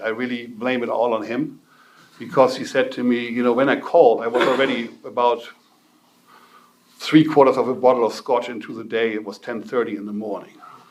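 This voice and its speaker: A man with a German accent and a medium pitch speaks with ordinary pitch variation in audible room echo. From northern Germany. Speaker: recovery speaker. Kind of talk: testimony.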